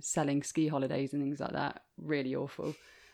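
This woman's delivery is moderately paced. Her audio is very clean, and the background is silent. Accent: English Midlands. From English Midlands, Leicester. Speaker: bespoke shoemaker. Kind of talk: interview.

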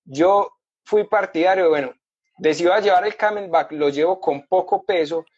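A man speaks with an Antioquian accent at a high pitch. His pace is moderate and his pitch variation ordinary. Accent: Colombian paisa Spanish. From Colombia, Medellín. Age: 30s. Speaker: motorcycle traveler. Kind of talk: interview, casual storytelling.

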